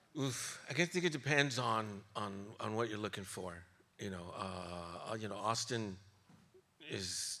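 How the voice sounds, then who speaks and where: With audible room echo, a man with a fairly low pitch and a bright, sharp tone talks at a fairly slow pace, using lively intonation and long, frequent pauses. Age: 60s. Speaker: journalist and music radio host. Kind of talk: live interview on stage. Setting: stage with audience. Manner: halting, many repetitions.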